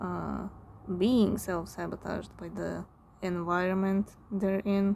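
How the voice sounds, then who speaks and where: Very slowly, a woman speaks with a non-native accent. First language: not English. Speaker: tarot reader. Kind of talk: tarot reading. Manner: halting, searches for words; casual, filler-heavy.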